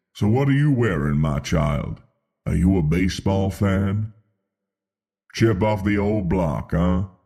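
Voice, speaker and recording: Using a put-on character voice, a man speaks very deep and low at a fairly slow pace. Long, frequent pauses run through his delivery. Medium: read story. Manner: calm, measured.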